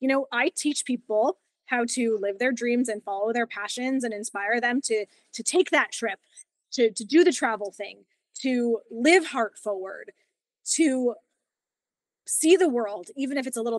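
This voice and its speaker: The delivery moves at a moderate pace with long, frequent pauses. Intonation is lively, and the sound is dry with no echo. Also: woman. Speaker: yoga teacher. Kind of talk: interview. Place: home room. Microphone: video call.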